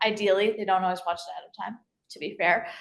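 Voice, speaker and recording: A woman with an American accent, medium-pitched and fairly even in intonation. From New Jersey, Hunterdon County. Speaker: chemistry professor. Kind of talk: presentation talk. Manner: fast; hesitant fillers.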